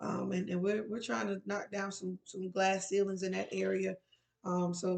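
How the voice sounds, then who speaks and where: Speaking at a fairly quick pace, a woman keeps a medium pitch and a monotone, flat intonation. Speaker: resource and employability coach. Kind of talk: tutorial. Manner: fast.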